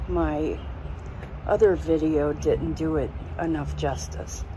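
Against noticeable background noise, a woman talks at a very slow pace in a dry sound with no echo. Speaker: product reviewer. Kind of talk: casual talk to camera. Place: street. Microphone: phone near.

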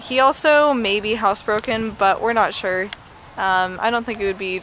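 The voice moves at a moderate pace with ordinary pitch variation, in a dry sound with no echo and light background noise. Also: woman. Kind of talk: pet adoption description. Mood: warm, friendly. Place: garden. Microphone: camera far.

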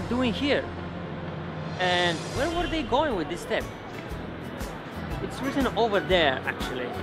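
Over clear music in the background, a man speaks at a moderate pace with long, frequent pauses. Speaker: travel vlogger, guide. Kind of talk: casual vlog chat. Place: street. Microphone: phone near.

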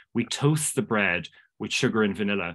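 Lively intonation from a man with a Cork accent, over a quiet background. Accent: Irish (Cork). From Ireland. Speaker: pastry chef. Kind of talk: casual interview chat. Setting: video call. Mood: warm, enthusiastic. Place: home room. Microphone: earbuds.

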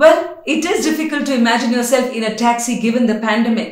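Over faint music in the background and audible room echo, a woman speaks at a high pitch with lively intonation. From India. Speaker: radio host and journalist; radio host, journalist. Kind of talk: promotional invitation. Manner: animated.

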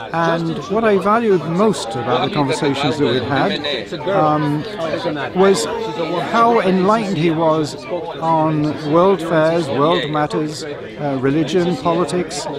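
With crowd noise behind him, a man speaks fairly slowly with ordinary pitch variation. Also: dry sound with no echo. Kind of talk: interview answer. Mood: warm, fond remembrance. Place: garden.

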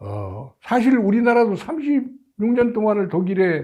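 A man's dark, mellow voice at a very slow pace over a quiet background. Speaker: association chairman, political commentator. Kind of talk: video commentary. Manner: halting, many filler sounds; formal.

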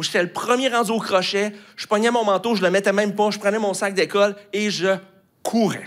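Fairly quick speech from a high-pitched man with a Quebec accent, against a quiet background. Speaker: pastor. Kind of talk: sermon. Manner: hesitant with many fillers. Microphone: handheld.

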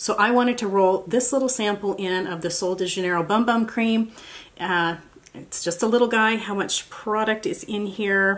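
A woman speaks at a moderate pace with an American accent and fairly even intonation. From United States. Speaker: beauty YouTuber. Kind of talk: tutorial. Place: home room.

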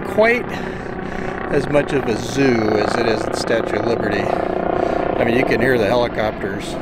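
Heard at a moderate pace, the voice sounds dry with no echo, set against loud background noise. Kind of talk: casual vlog narration. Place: boat. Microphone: phone near.

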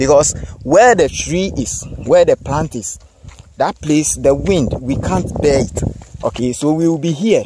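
A man speaks at a fairly slow pace in a dry sound with no echo, though noticeable background noise is present. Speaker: presenter. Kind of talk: casual tutorial talk. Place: open country. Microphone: phone near.

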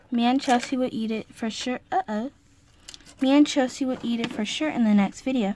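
A woman is speaking over noticeable background noise. The sound is dry with no echo. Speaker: doll play storyteller. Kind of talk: doll roleplay narration. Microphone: phone near.

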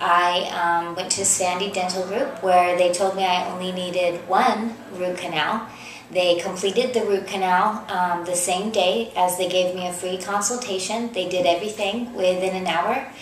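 A woman with an American accent speaks at a moderate pace and with fairly even intonation. Audible room echo and light background noise are present. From US, California (Fresno). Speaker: dental patient. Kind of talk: testimonial. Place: office. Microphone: webcam.

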